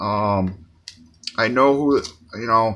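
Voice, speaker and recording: Speaking fairly slowly, a man uses a bright, sharp tone. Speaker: comic book collector YouTuber. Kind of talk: casual show-and-tell video. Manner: stuttering, halting; word-searching, repetitive.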